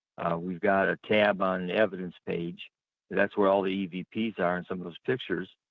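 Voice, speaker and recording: Very deep and low in pitch, a man speaks at a fairly quick pace in a monotone, flat delivery. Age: 70s. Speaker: paranormal investigator. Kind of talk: radio interview. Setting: radio show.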